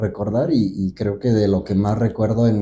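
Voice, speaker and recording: A man's fairly low, somewhat breathy voice carries a dark, mellow tone. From central Mexico (Guanajuato). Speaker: folk dancer. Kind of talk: interview conversation.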